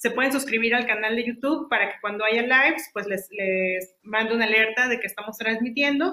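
Bright and sharp in tone, a woman speaks at a fairly quick pace and fairly high pitch, with ordinary pitch variation and hardly any pauses. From Mexico, Saltillo, Coahuila. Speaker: podcast host. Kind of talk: interview.

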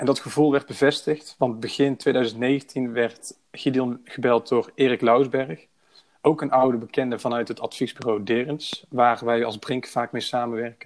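At a fairly slow pace, a plain, everyday voice carries fairly even intonation. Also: man, medium pitch for a man. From Breda, Netherlands. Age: 20s. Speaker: project manager. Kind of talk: podcast interview.

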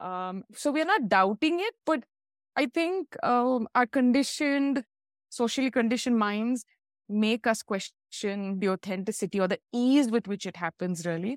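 A woman's ordinary speaking voice, fairly high with lively intonation at a moderate pace, dry and close with no echo in a very clean recording with a silent background. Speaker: animal communicator and teacher. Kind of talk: explanatory conversation.

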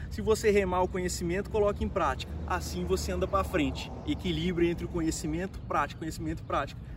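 A man rattles on at a very fast pace with hardly any pauses, noticeable background noise behind him. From Brazil, São Paulo state (Ribeirão Preto). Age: 30s. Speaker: human development coach. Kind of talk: casual interview chat. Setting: in person, hot location in Barretos.

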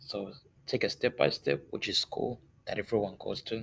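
A man talks with a non-native accent. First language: not English. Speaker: student podcaster. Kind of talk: solo monologue. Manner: halting.

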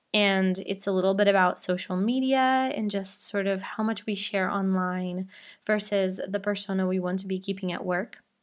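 Heard on a very clean recording with a silent background, a woman has an ordinary speaking voice of medium pitch with fairly even intonation. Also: moderate pace. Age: 20s. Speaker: podcast host. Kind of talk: casual monologue. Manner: casual, chatty.

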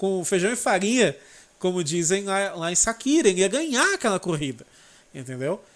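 This man's voice sits high in pitch. He speaks at a fairly quick pace. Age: 30s. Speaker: motorsport YouTuber. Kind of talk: casual chat.

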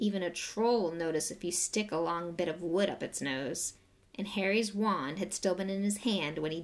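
Ordinary pitch variation in plain reading aloud.

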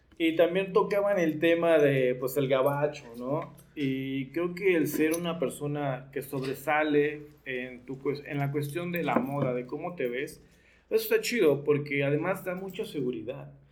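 Noticeable background noise runs behind a man with a fairly high voice. He speaks fairly slowly with ordinary pitch variation. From Mexico, Nezahualcóyotl (State of Mexico). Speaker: leather clothing designer and biker. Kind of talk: casual chat.

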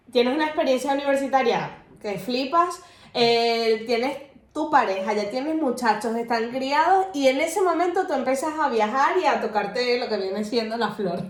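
Amid noticeable background noise and audible room echo, a woman speaks at high pitch and a moderate pace with lively intonation. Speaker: podcast co-host. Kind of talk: casual chat.

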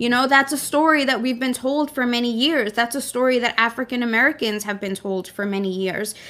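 A woman with a high pitch speaks at a fairly quick pace, with hardly any pauses. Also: ordinary pitch variation. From US, Brooklyn, New York, Mexican immigrant family. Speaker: podcast co-host. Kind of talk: casual chat.

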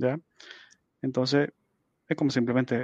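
In a Chilean accent, a man talks with monotone, flat intonation, the sound dry and close with no echo. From Chile, Santiago. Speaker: marine biologist and IT graduate student. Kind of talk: casual interview. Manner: halting, many repetitions and fillers.

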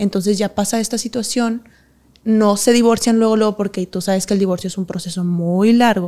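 Speaking at a fairly quick pace, a woman has a dark, mellow tone, a medium pitch and fairly even intonation. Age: 20s. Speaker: professional dancer. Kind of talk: interview.

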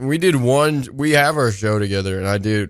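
A man speaks with a slight Southern US accent. His tone is animated, with ordinary pitch variation. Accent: American with a slight Southern twang. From San Francisco, California. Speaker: comedian. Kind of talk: casual chat. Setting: studio.

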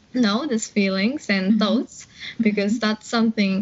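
A woman talks with a Japanese accent. Her pitch is fairly high. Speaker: English learning YouTuber. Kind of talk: casual interview.

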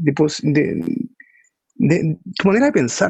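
The recording is dry and close with no echo. A man speaks at a fairly high pitch. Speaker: podcast host. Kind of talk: casual chat about books.

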